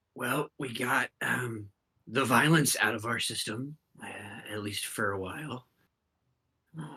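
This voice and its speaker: A man does a raspy put-on character voice at a medium pitch and a moderate pace, with long, frequent pauses. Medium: actual play.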